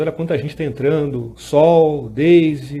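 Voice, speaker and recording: A man with a Rio de Janeiro accent speaks in a somewhat breathy voice with a dark, mellow tone. Audible room echo surrounds him. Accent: carioca (Rio de Janeiro). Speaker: lawyer and law lecturer. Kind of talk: live-streamed lecture. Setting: home studio, Instagram live. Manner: casual, with frequent fillers.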